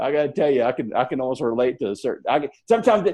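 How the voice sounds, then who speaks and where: A man speaks with a Southern US accent. He talks at a very fast pace. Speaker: network marketing leader. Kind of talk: motivational talk on a team call. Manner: fast, mumbling; halting, repetitive.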